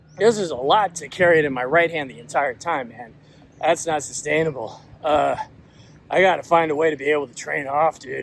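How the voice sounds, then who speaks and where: An American accent comes through at a fairly quick pace, with ordinary pitch variation, big swings in loudness and noticeable background noise. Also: man, fairly high pitch for a man. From Washington DC area, US. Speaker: author and agile coach. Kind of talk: casual vlog monologue. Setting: outdoors, walking with a gimbal. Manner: hesitant, many fillers.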